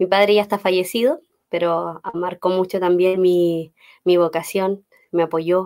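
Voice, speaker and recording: An unremarkable speaking voice at a fairly slow pace, with fairly even intonation and very even loudness. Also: woman, medium pitch for a woman. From Chile, Los Ángeles. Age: 30s. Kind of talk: faith talk interview.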